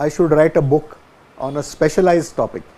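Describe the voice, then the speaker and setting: Noticeable background noise behind a man's fairly high voice at a moderate pace. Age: 70s. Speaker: tabla maestro. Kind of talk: interview. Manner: halting.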